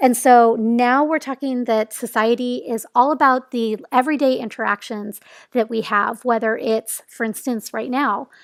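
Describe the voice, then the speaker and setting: Speaking at a moderate pace with hardly any pauses, a woman with a high voice keeps her intonation fairly even, heard in a very clean, silent, dry and close recording with no echo. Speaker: lecturer. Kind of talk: casual academic lecture.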